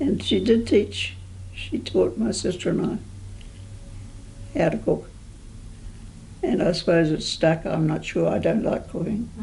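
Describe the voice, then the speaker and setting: A woman with a New Zealand accent at a fairly slow pace, long, frequent pauses and audible room echo throughout. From New Zealand, rural sheep station. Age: 80s+. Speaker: oral history interviewee, assisted living resident. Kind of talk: oral history interview. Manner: halting.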